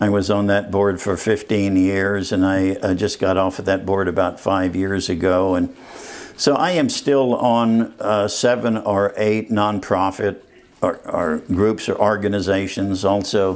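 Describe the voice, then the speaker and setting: A fairly low-pitched man with an American accent, fairly slow, with very even loudness and noticeable background noise. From Texas, rural area near San Antonio. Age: 70s. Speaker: retired city manager. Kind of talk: interview. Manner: halting.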